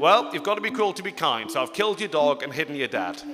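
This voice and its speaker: Over noticeable background noise, a man with an English accent talks at a very fast pace in a high pitch with very wide pitch swings. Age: 30s. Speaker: comedian. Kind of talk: stand-up. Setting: stage with audience.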